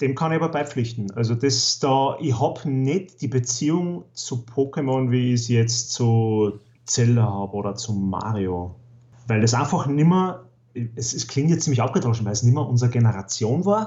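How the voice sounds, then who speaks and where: Somewhat breathy, a man speaks at medium pitch in an Upper Austrian accent. His pace is moderate and his pitch varies in an ordinary way. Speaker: podcast guest, gaming enthusiast. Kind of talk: casual chat.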